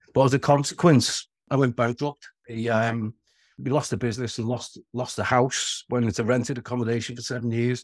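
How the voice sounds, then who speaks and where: A man speaks in a medium pitch with a Liverpool accent and flat, monotone intonation. The recording is very clean with a silent background and a dry, close sound with no echo. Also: moderate pace. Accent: Scouse. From Merseyside (Wirral, near Liverpool). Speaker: short-term rental owner. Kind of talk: interview. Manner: halting, repeats words.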